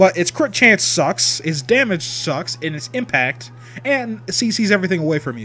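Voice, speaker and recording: Music plays in the background as a man talks at fairly high pitch and a moderate pace. His pitch swings very widely and his loudness shifts in big swings. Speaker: video game streamer. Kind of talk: casual chat. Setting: live stream.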